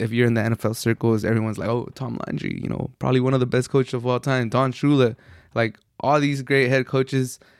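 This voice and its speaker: This man speaks with an American accent at a medium pitch and a fairly quick pace. His intonation is monotone and flat, and the recording is very clean with a silent background. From US, Mexican household. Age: 20s. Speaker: sports podcast host. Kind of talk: solo sports commentary monologue. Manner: casual, some filler words.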